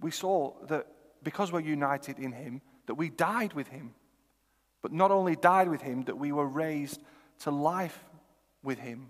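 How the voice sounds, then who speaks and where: With a northern English accent, a man speaks at a moderate pace and fairly high pitch, showing ordinary pitch variation, big swings in loudness, and long, frequent pauses. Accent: northern English, noticed elsewhere. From northern England, Lancashire (Chorley). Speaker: preacher. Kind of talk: sermon.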